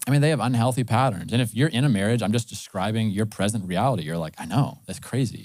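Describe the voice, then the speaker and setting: A man talks at a fairly quick clip in a medium pitch with ordinary pitch variation. The recording is very clean, with a silent background. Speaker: pastor. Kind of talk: sermon. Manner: fast.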